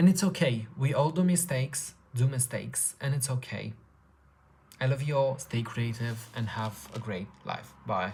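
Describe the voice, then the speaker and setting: At a moderate pace, the speech comes with a non-native accent. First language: not English. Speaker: artist podcaster. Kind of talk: motivational monologue.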